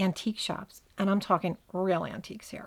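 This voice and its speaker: On a very clean recording with a silent background, a woman talks with a New Jersey accent. Her medium-pitched voice moves at a moderate pace. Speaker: podcast host. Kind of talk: scripted narration.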